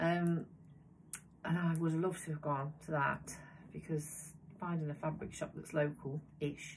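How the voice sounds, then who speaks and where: A woman speaks at a moderate pace in a somewhat breathy voice. Her pitch is very deep and low, and her intonation is monotone and flat. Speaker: sewing vlogger. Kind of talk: casual chat. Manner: hesitant, many fillers.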